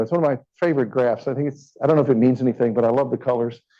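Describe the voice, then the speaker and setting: A man speaks very fast in a Kentucky accent. His tone is dark and mellow. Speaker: physician. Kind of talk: lecture. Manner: animated.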